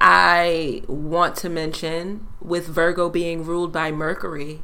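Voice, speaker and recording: A woman with a slight Caribbean accent talks at a very slow pace in a fairly low pitch. Audible room echo is present. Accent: slight Caribbean hint. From Antiguan heritage. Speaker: podcast co-host. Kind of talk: casual chat.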